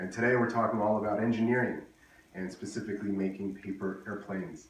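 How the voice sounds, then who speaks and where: Noticeable background noise and audible room echo surround a man's fairly low-pitched voice. He talks at a fairly quick pace. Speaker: engineer guest-hosting a kindergarten activity video. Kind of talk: tutorial for young children. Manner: fast.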